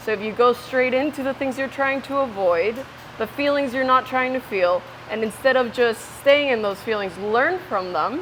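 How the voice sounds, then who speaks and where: A woman with a Spanish accent speaks at a high pitch and a moderate pace, with ordinary pitch variation. Music plays in the background. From Ecuador. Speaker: interviewee. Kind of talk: casual interview. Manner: animated.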